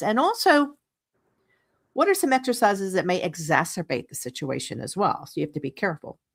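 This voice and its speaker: A woman's medium-pitched voice with very wide pitch swings at a fairly quick pace, recorded very cleanly against a silent background, the sound dry and close with no echo. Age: 60s. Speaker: radio host. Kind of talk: radio interview. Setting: radio show.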